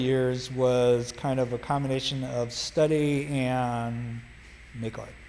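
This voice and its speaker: Audible room echo surrounds a man with an American accent. He speaks at a medium pitch with fairly even intonation. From US Midwest, Kansas near Kansas City. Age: 70s. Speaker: artist and physician. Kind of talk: casual interview chat. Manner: halting.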